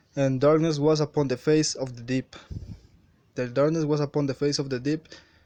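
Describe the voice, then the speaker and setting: A man with a Spanish accent speaks at a fairly quick pace in a fairly high pitch, his intonation flat and monotone. The sound is dry and close, with no echo. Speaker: religious video maker. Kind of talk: bible commentary. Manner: halting.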